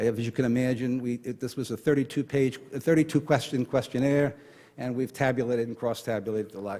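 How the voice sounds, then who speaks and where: A man's medium-pitched, dark, mellow voice with a New York accent, very fast and fairly even in intonation, on a very clean recording with a silent background. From New York (Brooklyn). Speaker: retired Marine officer and conference speaker. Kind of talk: conference talk.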